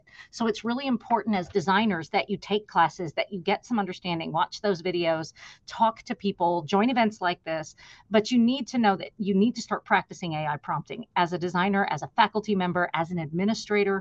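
Over a quiet background, a woman talks at a fairly quick pace with ordinary pitch variation, the sound dry with no echo. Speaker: instructional designer, webinar presenter. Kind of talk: conversational professional presentation. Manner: fast talker. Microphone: webcam.

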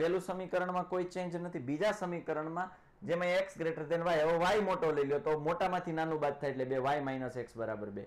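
A man's high-pitched, animated voice with ordinary pitch variation. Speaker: online maths teacher. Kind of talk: live online lecture. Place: studio. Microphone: new mic, sound distorted; lapel.

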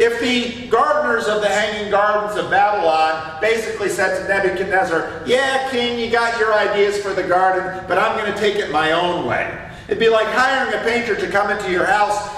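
A man speaks in a high voice. Room echo is audible. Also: ordinary pitch variation, moderate pace, hardly any pauses. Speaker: preacher or Sunday school teacher. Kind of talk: sermon. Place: church.

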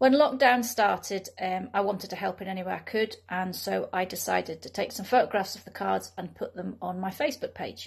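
A woman's fairly quick delivery with hardly any pauses, big swings in loudness, and a quiet background. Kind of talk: personal story to camera. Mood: calm, earnest. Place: home room. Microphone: phone near.

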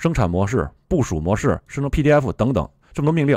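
A man's medium-pitched voice with vocal fry at a moderate pace, dry and close with no echo, in a very clean recording with a silent background. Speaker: tech video creator. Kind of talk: tutorial. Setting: screen-recorded video. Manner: friendly, conversational.

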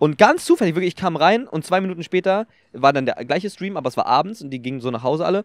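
A man talks at a very fast pace in a high pitch with lively intonation and big swings in loudness, in a dry sound with no echo over a quiet background. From Germany, Brandenburg (Potsdam); Brandenburg, Germany. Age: young. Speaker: streamer and content creator; podcast guest, streamer. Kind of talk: casual chat. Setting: outdoors in a park. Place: open country. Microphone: handheld.

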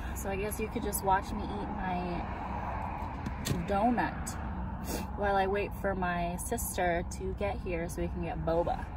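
A woman's voice with long, frequent pauses, dry and echo-free, over loud background noise. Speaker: vlogger. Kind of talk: casual vlog chat. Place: car. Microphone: phone near.

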